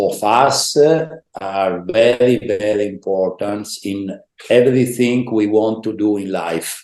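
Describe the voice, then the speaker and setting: The speaker has an Italian accent and talks at a very slow pace. Their pitch shows ordinary variation. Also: man. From northeast Italy, Udine. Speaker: former volleyball player and coach. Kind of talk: interview. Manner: halting.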